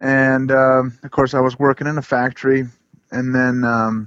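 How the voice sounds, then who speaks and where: A man talks in an ordinary speaking voice with an American accent. His pitch is medium and his pace moderate. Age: 40s. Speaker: forager and broom maker. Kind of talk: casual interview.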